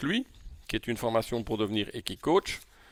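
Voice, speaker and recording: Speaking at a moderate pace and a medium pitch, a man with a Belgian accent comes through dry and close with no echo. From Belgium. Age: 60s. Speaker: coach. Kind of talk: lecture. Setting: video call. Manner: halting.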